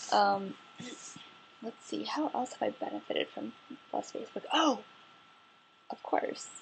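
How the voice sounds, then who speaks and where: A woman speaks quietly at a moderate pace over noticeable background noise. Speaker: vlogger. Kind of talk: casual vlog monologue. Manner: speaking quietly; relaxed, chill.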